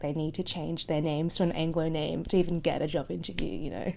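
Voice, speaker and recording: A woman with a very deep, low pitch, a dark, mellow tone and vocal fry, at a fairly quick pace with an Australian accent. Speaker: podcast host. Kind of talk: casual podcast conversation.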